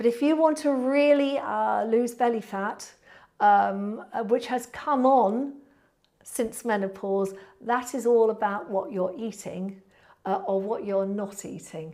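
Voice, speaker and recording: A woman with a British accent speaks fairly slowly in a fairly high, dark and mellow voice with ordinary pitch variation. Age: 60s. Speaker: pilates instructor. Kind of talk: live Q&A with viewers. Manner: casual, hesitant with fillers.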